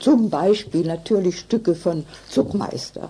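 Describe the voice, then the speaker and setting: A woman's medium-pitched voice, very slow, with lively intonation and noticeable background noise. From northern Germany (Hannover). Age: 80s+. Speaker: contemporary witness, theatre scholar. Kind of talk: interview testimony.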